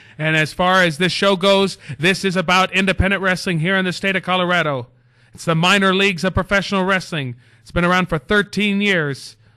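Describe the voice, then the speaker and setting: Against a quiet background, a man with a high pitch and a bright, sharp tone talks in a raised, projected voice at a fairly quick pace. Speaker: wrestling manager and show host. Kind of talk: solo show monologue. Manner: fast; animated.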